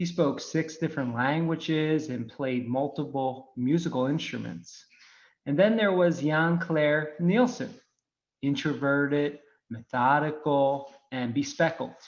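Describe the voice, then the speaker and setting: A man with a Philadelphia accent speaks at a fairly slow pace. The background is quiet. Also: fairly high pitch for a man, ordinary pitch variation. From Philadelphia, US. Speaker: wine microbiology technical specialist. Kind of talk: webinar presentation.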